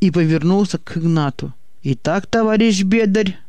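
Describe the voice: Plain reading aloud, its pitch rising and falling in an ordinary way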